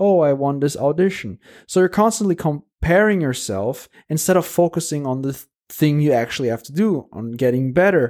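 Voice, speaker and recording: In a very clean recording with a silent background, a man with a fairly high pitch uses a normal speaking voice at a fairly quick pace, with lively intonation and big swings in loudness. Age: 20s. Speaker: classical musician podcaster. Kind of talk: solo monologue, casual.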